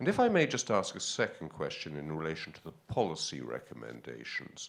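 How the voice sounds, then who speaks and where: A man with a British accent and big swings in loudness. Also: fairly quick pace. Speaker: audience member asking a question. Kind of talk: conference Q&A question. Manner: halting, many fillers.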